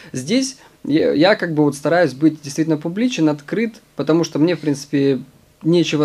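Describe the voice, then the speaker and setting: The tone is dark and mellow. The delivery moves at a fairly slow pace. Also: man. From Siberia, Omsk. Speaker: professional trader and fund manager. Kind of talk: interview. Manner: hesitant with fillers.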